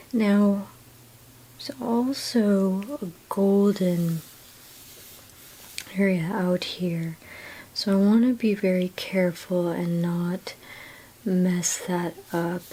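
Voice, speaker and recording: In a calm tone, the soft-spoken voice moves at a very slow pace, with long, frequent pauses. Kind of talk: ASMR drawing tutorial talk.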